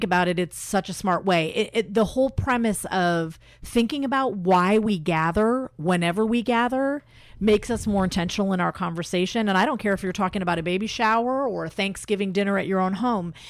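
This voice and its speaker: A woman speaks with an American accent in a normal speaking voice. Her pace is fairly quick, her pitch medium, and her pitch variation ordinary. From Indiana, US Midwest. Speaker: club member and media saleswoman. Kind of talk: radio interview.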